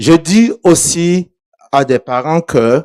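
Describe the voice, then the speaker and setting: A man's voice with lively intonation and a dark, mellow tone, dry and close with no echo. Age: 70s. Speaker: pastor. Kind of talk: sermon.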